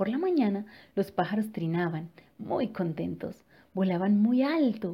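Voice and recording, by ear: Intonation is lively as this voice reads aloud naturally.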